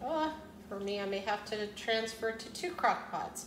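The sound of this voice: A woman speaks at a fairly slow pace, her pitch medium. Her intonation is lively, and the room echo is audible.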